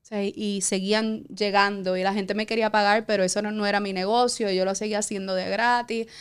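A woman with an unremarkable speaking voice talks at a moderate pace and medium pitch, her intonation fairly even, in a very clean recording with a silent background. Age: 40s. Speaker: entrepreneur. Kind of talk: interview, personal story.

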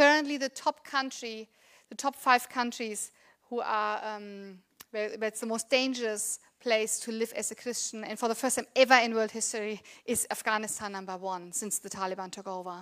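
A woman with a German accent speaks at a fairly high pitch, her loudness swinging widely while her intonation stays fairly even. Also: moderate pace. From Germany. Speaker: pastor. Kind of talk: sermon. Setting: church.

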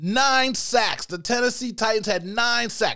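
A man's raised, projected voice, high-pitched, with a bright, sharp tone, a fairly slow pace and an American accent. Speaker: sports podcast host. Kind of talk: casual sports commentary monologue. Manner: animated, excited; shrieking at times.

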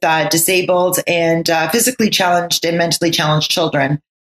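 A woman's normal speaking voice at a medium pitch and fairly quick pace, with a Canadian accent and a dry, close sound with no echo. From Canada, Ottawa. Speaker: author and nonprofit founder. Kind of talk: interview.

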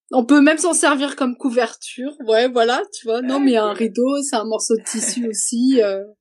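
A woman with a high pitch talks with hardly any pauses. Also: ordinary pitch variation, moderate pace. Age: 30s. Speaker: hiker and mother of two. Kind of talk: interview, personal story. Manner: halting, many hesitations.

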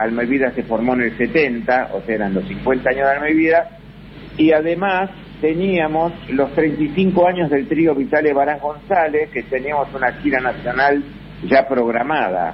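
A man speaking fairly slowly with ordinary pitch variation over noticeable background noise. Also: fairly high pitch for a man. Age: 70s. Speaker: musician. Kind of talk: interview. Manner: halting.

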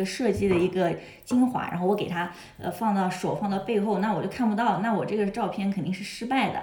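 Over noticeable background noise and audible room echo, a woman talks at a fairly quick pace with a medium pitch and fairly even intonation. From China. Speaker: model, translator and music student. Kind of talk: casual interview chat. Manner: hesitant, many fillers.

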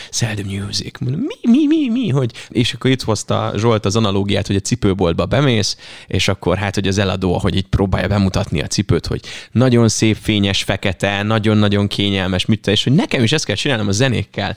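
A man speaks in a normal speaking voice at a fairly low pitch and a fairly quick pace. His intonation is fairly even, and the sound is dry and close with no echo. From Hungary, Veszprém county (Ajka area). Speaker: radio host. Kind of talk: casual chat.

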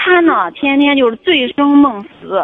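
A woman at a fairly slow pace. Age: 30s. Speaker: caller seeking marriage advice. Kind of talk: call-in advice conversation. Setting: phone call. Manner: halting, many fillers and repetitions.

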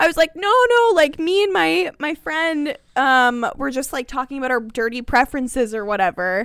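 A woman speaks at a high pitch with very wide pitch swings. She keeps a moderate pace and hardly pauses. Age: 20s. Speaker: podcast co-host. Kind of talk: casual chat.

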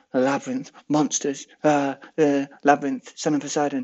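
Putting on a character voice, a man mumbles at a moderate pace with a fairly high pitch. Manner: mumbling.

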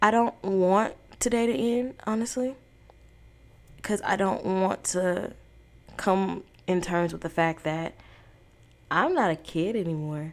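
With long, frequent pauses, a woman speaks fairly slowly at a medium pitch, showing ordinary pitch variation. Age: 18. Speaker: podcast host. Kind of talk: casual monologue.

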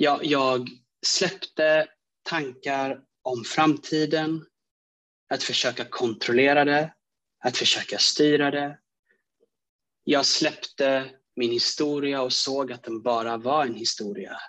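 Speaking very slowly with long, frequent pauses, a man has a bright, sharp tone. His pitch is fairly high and his intonation fairly even. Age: 20s. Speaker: aspiring coach and speaker, podcast listener. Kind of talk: personal testimony.

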